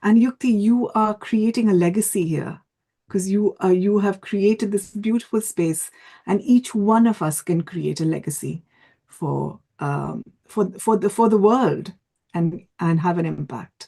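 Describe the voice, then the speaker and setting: A woman speaks with a dark, mellow tone. Her voice is somewhat breathy. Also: medium pitch for a woman, ordinary pitch variation, fairly slow pace. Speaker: event jury member. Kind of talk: feedback speech. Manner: stammer.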